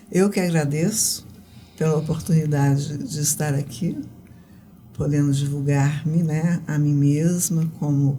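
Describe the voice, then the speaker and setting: A very deep, low-pitched, somewhat breathy woman's voice with ordinary pitch variation, fairly slow pace and audible room echo. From Goiás, Brazil (born in Rio de Janeiro). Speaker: writer and poet. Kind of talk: interview. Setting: studio.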